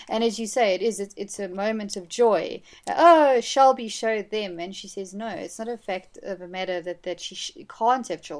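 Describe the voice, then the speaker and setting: A woman with an ordinary speaking voice talks at a moderate pace and fairly high pitch, with ordinary pitch variation, big swings in loudness and a very clean recording with a silent background. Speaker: film fan guest. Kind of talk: casual chat.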